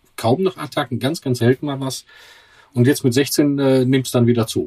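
Somewhat breathy, a man at a medium pitch is captured in a dry, close sound with no echo. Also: very clean recording, silent background. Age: 50s. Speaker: patient and father. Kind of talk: interview.

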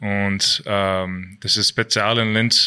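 A man with an English accent has a bright, sharp tone and monotone, flat intonation. The background is quiet. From Canada. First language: English (speaking German). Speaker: ice hockey player. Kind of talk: interview. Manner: halting.

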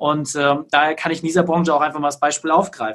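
The delivery from this man is very fast. His voice sits fairly high. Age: 30s. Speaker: business consultant. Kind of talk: interview.

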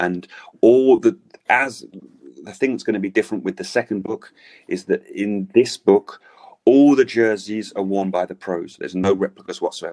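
The speaker has a London accent and a moderate pace. The sound is dry and close with no echo. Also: man. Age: 40s. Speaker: author and cycling jersey collector. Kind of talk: interview.

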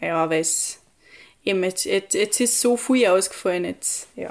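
A woman at a very slow pace, with ordinary pitch variation and long, frequent pauses. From Austria, Tyrol (Pillersee valley). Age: young. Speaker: recent school graduate. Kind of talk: casual interview chat. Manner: halting, many fillers.

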